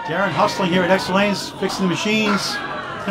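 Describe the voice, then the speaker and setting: Over clear music in the background, the voice moves at a moderate pace. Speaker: sports announcer. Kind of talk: commentary. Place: hall.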